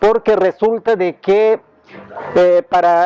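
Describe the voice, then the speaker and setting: A man with a Yucatán accent speaks at a high pitch and a fairly slow pace with fairly even intonation. The sound is dry and close with no echo, though noticeable background noise is present. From Yucatán, Mexico. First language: Yucatec Maya (speaking Spanish). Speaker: bilingual teacher, cultural association representative. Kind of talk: interview monologue. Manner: halting, with repeated words and fillers; formal.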